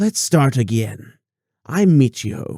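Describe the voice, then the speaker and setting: A man's put-on character voice at medium pitch, amused in tone and fairly slow in pace. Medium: read story. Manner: amused, sly.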